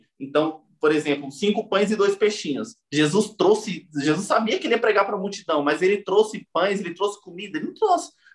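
A man with a high pitch speaks at a moderate pace. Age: 30s. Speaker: gospel musician. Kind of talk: casual interview.

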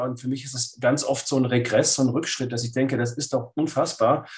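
The man's voice sounds somewhat breathy. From Swabia, Lake Constance, Germany. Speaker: writer and philosopher. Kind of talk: interview.

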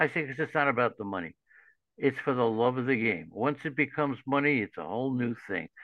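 A man with a New York accent talks at a fairly quick pace and a medium pitch. His intonation is lively, and there is vocal fry in his voice. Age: 70s. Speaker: fantasy baseball analyst. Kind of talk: interview. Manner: animated.

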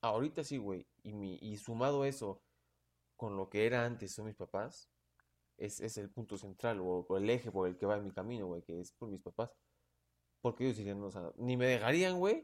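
The speaker is a man with a Mexican accent. His pitch sits fairly low. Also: ordinary pitch variation, moderate pace. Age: 20s. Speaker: law student. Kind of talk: casual chat.

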